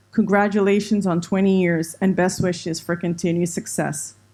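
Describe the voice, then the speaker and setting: The speaker has a Spanish accent and a fairly even intonation at a moderate pace. The recording is very clean with a silent background. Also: woman. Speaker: university administrator. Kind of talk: formal closing speech. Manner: formal.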